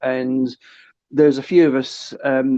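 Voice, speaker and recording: A medium-pitched man with a southern English accent. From south coast of England. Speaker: live streamer. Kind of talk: podcast interview. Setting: phone call.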